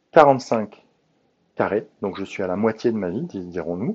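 A man speaks very slowly at a fairly low pitch, with ordinary pitch variation. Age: 40s. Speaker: podcast host, coach. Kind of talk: solo monologue, self-help reflection. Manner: hesitant, many filler sounds.

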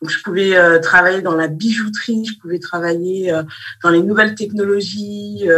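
A woman's fairly slow, medium-pitched delivery with fairly even intonation and music in the background. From Malian heritage, raised in France. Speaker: teacher and business consultant. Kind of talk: interview.

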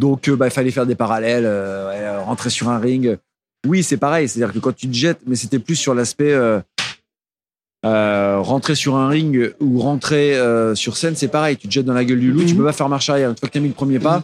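At a fairly quick pace, a man speaks at a medium pitch with ordinary pitch variation, in a dry, close sound with no echo. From Burgundy, Nièvre (France). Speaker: singer-songwriter and novelist. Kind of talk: interview. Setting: studio. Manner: halting.

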